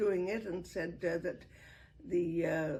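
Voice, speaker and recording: Her medium-pitched voice shows ordinary pitch variation as this woman speaks. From Wales, Cardiff. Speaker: arts producer and storyteller. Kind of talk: interview reminiscence. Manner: halting, many fillers.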